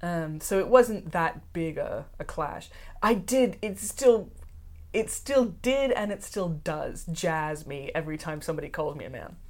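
A woman speaks at a fairly slow pace, her pitch medium. Her loudness swings widely, and her intonation is lively. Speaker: guest, genderqueer person and former fencer. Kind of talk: casual interview chat.

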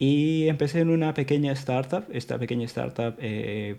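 With ordinary pitch variation, this voice carries a dark, mellow tone. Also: man. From Peru, moved to Madrid at 14. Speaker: software engineer. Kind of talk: casual interview.

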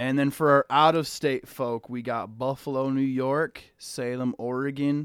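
At a fairly slow pace, a man in a normal speaking voice with an American accent talks at medium pitch with fairly even intonation, the sound dry and close with no echo. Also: very clean recording, silent background. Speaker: podcast co-host. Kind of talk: heated debate in a casual podcast chat. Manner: loud, overlapping, talking over others, heated.

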